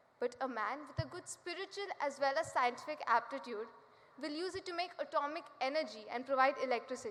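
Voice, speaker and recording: A woman with a high voice and ordinary pitch variation talks at a moderate pace over noticeable background noise. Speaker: student speaker. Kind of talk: prepared speech. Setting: stage with audience.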